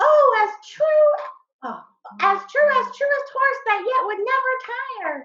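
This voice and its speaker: This put-on character voice is squeaky and extremely high-pitched. It moves at a fairly slow pace with long, frequent pauses. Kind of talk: Shakespearean verse reading. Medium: stage play.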